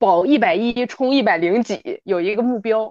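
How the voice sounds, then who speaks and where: This woman has a fairly high pitch and a normal speaking voice. She speaks at a moderate pace. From Northeast China. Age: 30s. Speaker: fitness enthusiast. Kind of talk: casual chat. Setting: remote recording.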